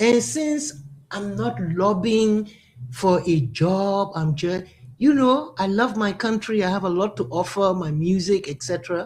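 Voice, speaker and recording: A woman talks at a medium pitch, her voice somewhat breathy. Her pitch swings very widely as she goes at a fairly slow pace. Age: 70s. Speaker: musician and women's advocate. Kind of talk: radio talk show interview.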